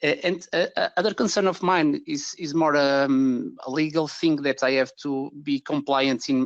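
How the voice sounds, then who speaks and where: A man with a Portuguese accent talks at a moderate pace, his pitch fairly high and his intonation fairly even. The sound is dry and close with no echo, against a quiet background. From Portugal. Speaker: digital marketing agency owner. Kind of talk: webinar question. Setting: webinar. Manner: halting.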